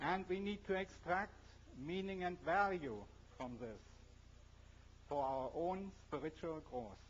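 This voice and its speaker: Using a strong German accent, a man speaks at a fairly slow pace with long, frequent pauses, his high pitch lifted by lively intonation. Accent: heavy German. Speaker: scientist and speaker. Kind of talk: public talk.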